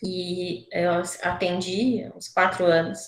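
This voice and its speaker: A woman with a fairly low pitch speaks with fairly even intonation in audible room echo. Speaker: surgeon lecturer. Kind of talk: online lecture.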